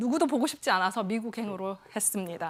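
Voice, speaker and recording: With a Busan accent, a woman speaks at a fairly high pitch with lively intonation on a very clean recording with a silent background. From South Korea, Busan (Yeongdo). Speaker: psychiatric nurse practitioner, talk speaker. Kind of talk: stage talk.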